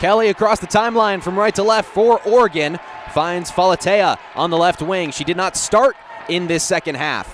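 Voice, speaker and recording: An energetic man speaks in a high pitch with ordinary pitch variation over noticeable background noise. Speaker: sports broadcaster. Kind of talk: radio basketball play-by-play. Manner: fast, energetic.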